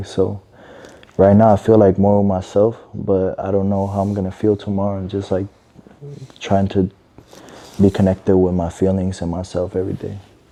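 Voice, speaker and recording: At a fairly slow pace, a man speaks at a fairly low pitch. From Medellín, Colombia. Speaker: singer and artist. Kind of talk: interview answer.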